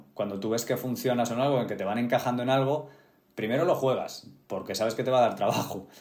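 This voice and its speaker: Audible room echo surrounds a man speaking at a fairly quick pace in a medium pitch. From Spain, Getafe (Madrid). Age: 30s. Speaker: actor. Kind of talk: interview conversation.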